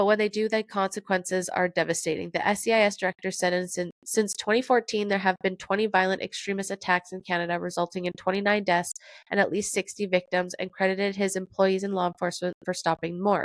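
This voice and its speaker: Speaking at a very fast pace, a woman holds a medium pitch in monotone, flat intonation. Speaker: podcast host. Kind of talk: casual talk to camera, news commentary.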